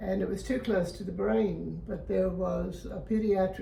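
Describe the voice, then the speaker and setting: A woman with an American accent speaks at a fairly slow pace, with audible room echo and noticeable background noise. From Florida, US. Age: 90s. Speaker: interviewee sharing life memories. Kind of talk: interview, personal reminiscence.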